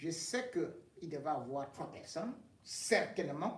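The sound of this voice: A man talks slowly at a fairly high pitch, with big pitch swings. Strong room echo surrounds his voice.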